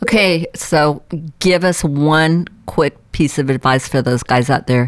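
Her pitch varies in an ordinary way as a woman talks at a fairly slow pace. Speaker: radio host. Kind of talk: interview.

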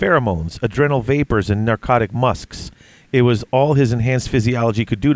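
Someone does plain reading aloud here.

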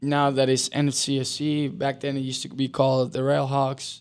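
A man with a Spanish accent in a very clean recording against a silent background. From Uruguay. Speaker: professional soccer player. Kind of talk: podcast interview.

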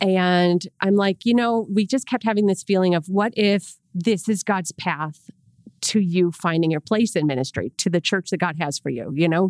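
In an Inland North American accent, a woman speaks at a moderate pace with medium pitch and ordinary pitch variation, in a very clean recording with a silent background and a dry, close sound with no echo. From Rochester, New York. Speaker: church staff member. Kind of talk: casual chat. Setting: podcast.

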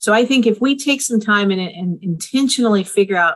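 Here is a woman with a normal speaking voice at medium pitch. She moves at a moderate pace with lively intonation. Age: 50s. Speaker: family therapist and co-parenting organization founder. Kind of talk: interview.

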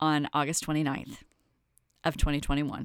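A woman speaks in a Kentucky accent with an animated tone. The recording is very clean, with a silent background. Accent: Kentucky Southern US. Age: 50s. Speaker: podcast host and wellness coach. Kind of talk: casual monologue.

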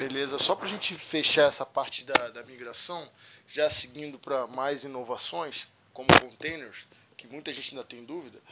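Noticeable background noise sits behind a man speaking at a moderate pace. His pitch is fairly high with ordinary variation, and his loudness swings widely. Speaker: podcast host, IT professional. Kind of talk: casual interview chat.

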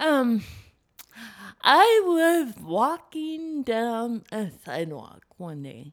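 Very wide pitch swings mark a woman's high-pitched voice, delivered at a very slow pace. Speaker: speaker. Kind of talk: casual interview chat. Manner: funny, authentic storyteller.

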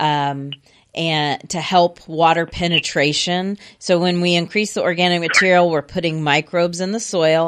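A woman with an American accent talks at a moderate pace in an unremarkable speaking voice, her pitch fairly low and her intonation fairly even. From Houston area, Texas. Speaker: garden center expert. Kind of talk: radio call-in advice. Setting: radio studio.

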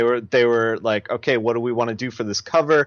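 Speaking in a plain, everyday voice, a man keeps a medium pitch and fairly even intonation. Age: 30s. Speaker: comic book colorist. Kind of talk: casual chat.

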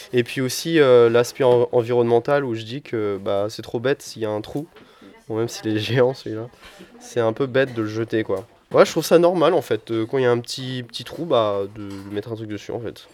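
A man's medium-pitched voice at a moderate pace, loudness swinging widely, pitch varying in an ordinary way, over noticeable background noise. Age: 20s. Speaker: association member and volunteer. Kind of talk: casual interview.

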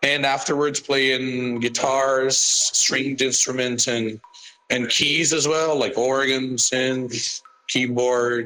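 Very slowly, a man speaks at a medium pitch with flat, monotone intonation. His loudness is very even, and noticeable background noise sits behind him. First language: Portuguese. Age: 30s. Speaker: musician. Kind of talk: personal statement. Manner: halting.

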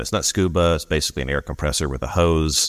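A man speaks at a very fast pace, his pitch very deep and low, with vocal fry and fairly even intonation. The recording is very clean, with a silent background. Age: 50s. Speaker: podcast co-host. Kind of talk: casual chat.

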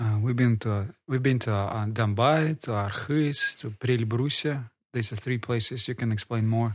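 Against a quiet background, a man with a Russian accent talks at a moderate pace with hardly any pauses, medium pitch and fairly even intonation. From northern Kazakhstan. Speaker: podcast guest. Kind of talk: interview.

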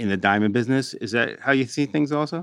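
An unremarkable speaking voice from a man, fairly quick in pace, with ordinary pitch variation. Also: quiet background. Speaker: trade magazine news director and podcast co-host. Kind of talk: podcast interview. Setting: studio.

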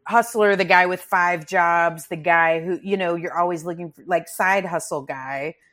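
An ordinary speaking voice from a woman with an American accent, fairly low-pitched and fairly even in intonation, at a moderate pace with big swings in loudness, on a very clean recording with a silent background. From Texas, Grand Prairie near Dallas. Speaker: comedian. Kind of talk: casual chat.

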